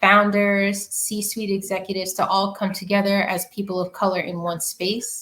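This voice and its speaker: A woman's medium-pitched voice with an American accent, bright and sharp in tone, flat and monotone, at a moderate pace with hardly any pauses. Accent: New York, comes out at times. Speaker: community founder, marketer. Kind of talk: podcast interview.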